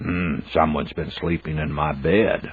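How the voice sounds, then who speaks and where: Growling in a put-on character voice, a man speaks at a moderate pace with a very deep, low pitch and fairly even intonation. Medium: read story. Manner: slow, musing with a "hmm".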